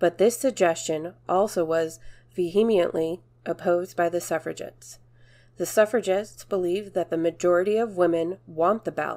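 A woman's dark, mellow tone at fairly low pitch, with fairly even intonation and a moderate pace. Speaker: narrator reading a historical speech. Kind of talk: reading aloud a 1910 anti-suffrage speech, formal oratory.

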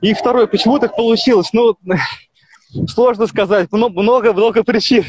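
Speaking at a moderate pace with long, frequent pauses, a man uses a high pitch, fairly even intonation and very even loudness, recorded dry with no echo against a quiet background. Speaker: long-distance walker and charity fundraiser. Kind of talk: live interview. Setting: outdoors, walking by a highway on a mobile video call. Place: open country. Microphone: 3G mobile connection; phone near.

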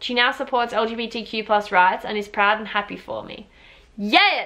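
Against a quiet background, a woman with an Australian accent speaks in an animated tone at a fairly high pitch, with ordinary pitch variation. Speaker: YouTuber. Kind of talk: casual reaction video, reading viewer stories aloud. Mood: warm, upbeat. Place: home room. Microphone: camera far.

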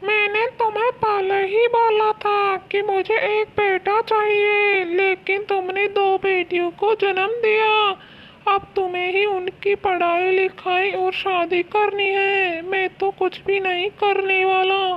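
An extremely high-pitched cartoonish character voice, very slow and monotone, with light background noise. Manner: dismissive, harsh.

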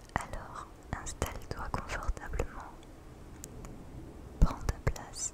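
A woman whispering at a very slow pace. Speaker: ASMR creator. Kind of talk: guided sleep meditation (sophrology). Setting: thunderstorm and rain ambience in the background. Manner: whispered, soft, very close to the microphone. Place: home room. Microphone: studio mic.

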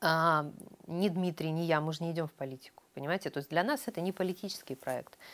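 A woman talking at a very fast pace, with ordinary pitch variation. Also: fairly low pitch for a woman. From Ukraine. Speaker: chief editor of a news publication. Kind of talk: interview. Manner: animated. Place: studio. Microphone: lapel.

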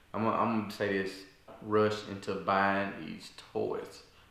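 Monotone, flat delivery at a fairly slow pace, with audible room echo. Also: man. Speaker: video creator. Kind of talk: casual vlog chat. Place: home room. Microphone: camera far.

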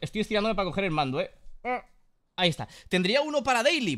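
A man's raised, projected voice, high in pitch with very wide pitch swings and a bright, sharp, animated tone, over a quiet background. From Spain. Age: 30s. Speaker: gaming YouTuber; gaming streamer. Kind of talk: casual gameplay commentary.

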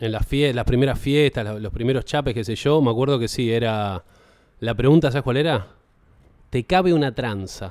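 A man speaks with a Rioplatense accent at a moderate pace. The sound is dry with no echo, and the background is quiet. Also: ordinary pitch variation. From Buenos Aires, Argentina; Argentina. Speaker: podcast host. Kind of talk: casual comedy chat. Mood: playful, storytelling, joking. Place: studio. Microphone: studio mic.

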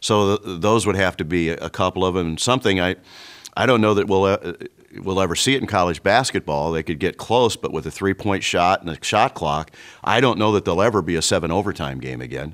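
A man with an American accent talks at a fairly quick pace in a very deep, low pitch with vocal fry and ordinary pitch variation, against a quiet background. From American, Illinois. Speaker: radio play-by-play broadcaster. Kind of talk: reflective interview answer. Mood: warm, nostalgic. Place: studio.

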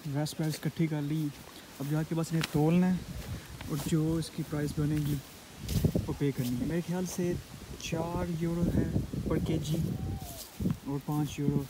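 A man with a fairly high pitch and a dark, mellow tone, little pitch movement and a moderate pace, over faint background noise

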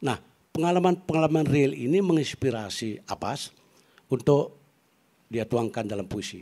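Over a quiet background, a man talks at a moderate pace with lively intonation and long, frequent pauses. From Bali, Klungkung; Bali, Indonesia. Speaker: academic and poet; panelist. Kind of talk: panel talk. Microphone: handheld.

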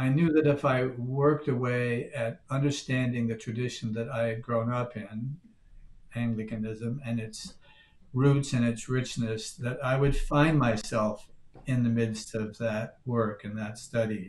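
A man's somewhat breathy voice with an American accent, fairly even intonation and a fairly slow pace, with audible room echo. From Newfoundland, Canada. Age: 70s. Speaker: priest. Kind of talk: interview. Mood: reflective, calm. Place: home room. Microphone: webcam.

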